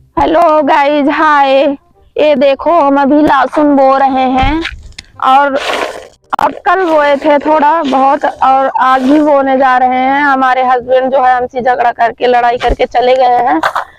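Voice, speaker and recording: Over noticeable background noise, a woman speaks very slowly in a high pitch, her intonation fairly even and her loudness very even. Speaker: vlogger. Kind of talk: casual vlog talk.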